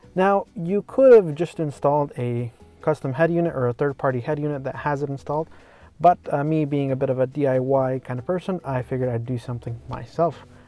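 Over faint background music, a man speaks at a fairly quick pace with ordinary pitch variation, in a dry sound with no echo. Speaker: tech reviewer. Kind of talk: casual vlog chat. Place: car. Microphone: phone near.

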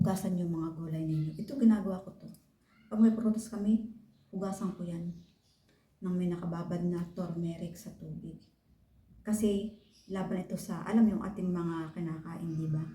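A woman's somewhat breathy voice holds fairly even intonation while its loudness swings widely. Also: medium pitch for a woman, moderate pace. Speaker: vlogger. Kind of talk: tutorial. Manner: casual.

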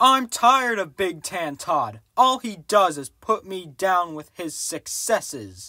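In a cartoonish character voice, a man with a high pitch uses a raised, projected voice at a fairly slow pace, with very wide pitch swings, big swings in loudness, hardly any pauses and a very clean recording over a silent background. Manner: whiny, sarcastic, scheming.

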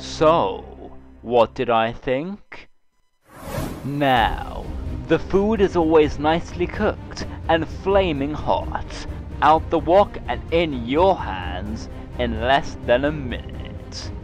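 Very slow speech from a man, music playing behind him. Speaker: food reviewer. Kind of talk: food review narration in mock trailer style.

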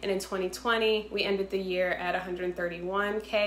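A woman with an American accent at a fairly slow pace, ordinary pitch variation, light background noise and audible room echo. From Boston, Massachusetts. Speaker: entrepreneur and game inventor. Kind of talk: sales pitch. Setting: self-recorded video. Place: home room. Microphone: phone near.

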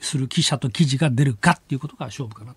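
The voice is somewhat breathy, with a dry sound and no echo. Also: man. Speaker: news commentator. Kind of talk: casual political commentary. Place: studio.

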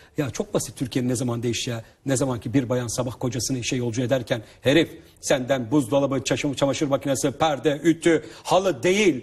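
Words come at a fairly quick pace with hardly any pauses. The voice is somewhat breathy, with ordinary pitch variation. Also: man, medium pitch for a man. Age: 30s. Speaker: author and family seminar speaker. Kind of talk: interview talk. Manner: animated.

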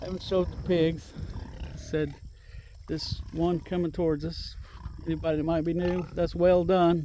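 A man talks at a moderate pace with long, frequent pauses. The sound is dry with no echo, over light background noise. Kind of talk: casual vlog chat. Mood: relaxed, laughs once. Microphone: phone near.

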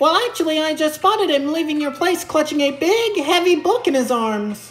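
A high-pitched, put-on character voice speaks at a moderate pace. Clear music plays in the background.

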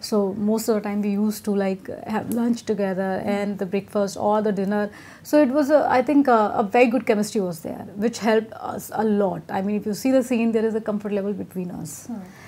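A woman with a medium pitch speaks at a fairly quick pace. Her intonation is fairly even, her tone dark and mellow. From Etawah, Uttar Pradesh, India. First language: Hindi. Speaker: Bollywood actress. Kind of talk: casual interview. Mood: relaxed, laughing, candid. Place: home room. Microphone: lapel.

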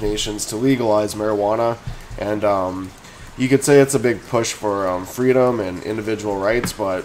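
Over light background noise, a man with a fairly low pitch talks at a fairly quick pace. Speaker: stock commentator. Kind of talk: casual commentary and opinion rant. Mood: frustrated, opinionated. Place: home room. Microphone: webcam.

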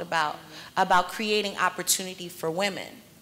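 Very fast speech from a woman with a bright, sharp tone, ordinary pitch variation and light background noise. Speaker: panel moderator, drug policy advocate; panel moderator. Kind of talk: moderated panel discussion. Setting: stage with audience. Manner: animated, rousing. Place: hall. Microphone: podium.

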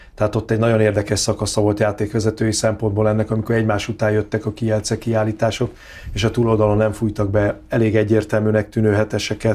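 Speaking very fast, a man keeps his loudness very even and his intonation flat and monotone. His voice is dark and mellow, with a fairly low pitch. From Hungary. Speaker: handball pundit. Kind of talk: casual chat. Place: studio. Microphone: lapel.

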